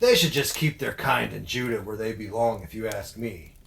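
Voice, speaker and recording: Using a put-on character voice, a man talks at a moderate pace. His pitch is medium. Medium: audio drama. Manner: blunt.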